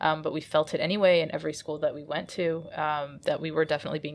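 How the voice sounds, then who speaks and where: The speaker has a Midwestern accent and talks at a fairly quick pace. The background is quiet. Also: woman. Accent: American Midwest. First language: Arabic. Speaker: comic artist. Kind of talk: interview.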